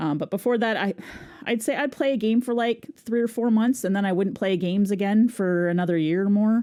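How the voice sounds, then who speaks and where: This woman speaks with a fairly high pitch, a dark, mellow tone and ordinary pitch variation. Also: fairly quick pace. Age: adult, oldest of the three hosts. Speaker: podcast co-host and streamer. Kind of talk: casual chat. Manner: halting, many fillers.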